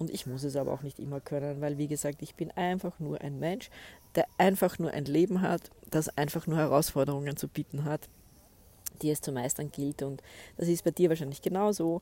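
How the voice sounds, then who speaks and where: A woman's very deep, low-pitched voice with a dark, mellow tone, a fairly quick pace, and fairly even intonation. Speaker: podcast host and spiritual coach. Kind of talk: solo podcast monologue. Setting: outdoors by a lake.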